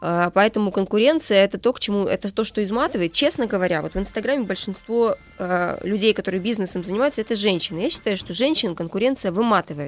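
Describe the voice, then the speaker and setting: Speaking at a very fast pace with lively intonation, a woman at medium pitch sounds dry and close with no echo, over noticeable background noise. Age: 30s. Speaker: author and social media marketing agency co-founder. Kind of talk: radio interview. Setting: radio studio.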